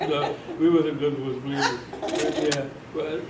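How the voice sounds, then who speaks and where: With an American accent and a fairly high pitch, a man talks in a monotone, flat intonation, with audible room echo and noticeable background noise. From US Northeast, Pitcairn, Pennsylvania. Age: 90s. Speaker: World War II era veteran and local elder. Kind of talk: interview. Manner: halting.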